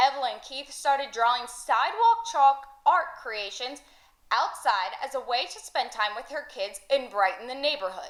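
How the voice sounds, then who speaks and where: A high-pitched woman at a moderate pace, with very wide pitch swings, big swings in loudness and noticeable background noise. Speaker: sports and news reporter. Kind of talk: local TV news package.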